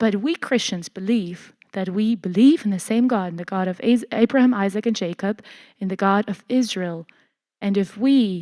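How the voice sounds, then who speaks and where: The speaker has a German accent and talks at a moderate pace with ordinary pitch variation, in a very clean recording with a silent background and a dry, close sound with no echo. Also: woman. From Germany. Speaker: church lecturer. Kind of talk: lecture. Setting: church hall with audience. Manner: halting, many fillers.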